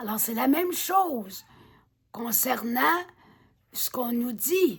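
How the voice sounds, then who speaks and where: The speech moves at a very slow pace, with very wide pitch swings and big swings in loudness. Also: woman, high pitch for a woman. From Quebec. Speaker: author reading her own book. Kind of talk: reading aloud with commentary.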